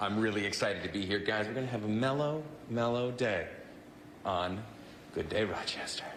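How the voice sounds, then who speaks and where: A man with a medium-pitched voice talks at a fairly quick pace in an energetic, animated tone, with audible room echo and noticeable background noise. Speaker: TV reporter. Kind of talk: live TV segment. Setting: on location at a tai chi center.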